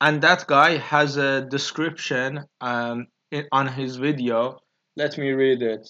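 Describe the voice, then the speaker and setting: A man with a Persian accent speaks very slowly, his fairly high pitch delivered in a monotone, flat intonation. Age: 20s. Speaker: YouTuber. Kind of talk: solo monologue. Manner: halting, many fillers.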